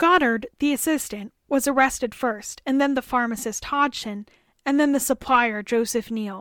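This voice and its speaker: A woman speaks at a high pitch with ordinary pitch variation. The recording is very clean and dry, close, with a silent background and no echo. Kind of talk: dramatic storytelling narration, spooky campfire-tale style. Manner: measured, explanatory, building dread toward reveals.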